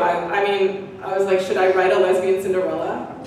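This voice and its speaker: A woman at a moderate pace, with strong room echo and light background noise. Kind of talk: public talk. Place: hall.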